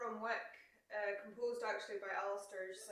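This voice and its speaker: A woman speaks with a Scottish accent. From Scotland, Caithness (far north). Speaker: musician. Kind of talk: casual chat. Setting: video call.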